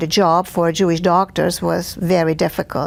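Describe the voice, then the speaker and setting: Speaking with a Hungarian accent, a woman has a fairly low voice. Her delivery is fairly slow, with monotone, flat intonation. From Hungary, Budapest. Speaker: Holocaust survivor. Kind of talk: testimony. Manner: halting, many fillers.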